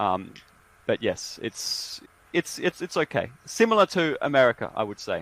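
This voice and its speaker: With an Australian accent, a man speaks at a moderate pace in a dry, close sound with no echo. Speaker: university English teacher. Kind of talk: casual conversation.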